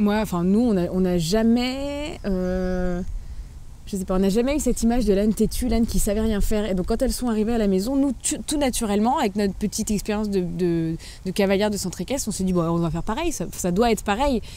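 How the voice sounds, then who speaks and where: A woman speaks at a fairly quick pace, her pitch medium with ordinary variation. Her tone is dark and mellow. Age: 20s. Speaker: YouTuber, donkey owner. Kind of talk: interview. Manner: hesitant, many fillers.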